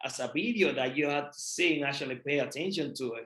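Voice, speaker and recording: At a moderate pace, a man speaks with a Puerto Rican accent and ordinary pitch variation. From Puerto Rico. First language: Spanish. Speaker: real estate investor. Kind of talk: podcast interview.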